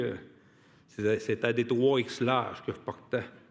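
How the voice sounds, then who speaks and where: A man speaks with a strong Côte-Nord Quebec accent. His pitch is medium and his pace moderate. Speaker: union activist, award recipient. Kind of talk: acceptance speech. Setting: hall with audience. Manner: halting, many repetitions and hesitations.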